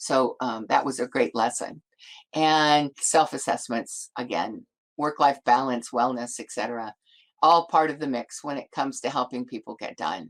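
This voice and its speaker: The voice moves at a moderate pace with ordinary pitch variation and big swings in loudness, heard in a dry, close sound with no echo. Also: woman, very deep, low pitch for a woman. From United States. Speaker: academic development company founder. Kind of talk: webinar presentation. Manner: halting.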